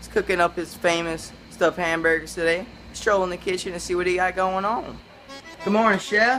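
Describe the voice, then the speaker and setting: Music plays behind a woman with a medium pitch who speaks at a fairly quick pace. Her intonation stays fairly even while her loudness swings widely. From Louisiana. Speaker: cooking show host. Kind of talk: cooking show intro.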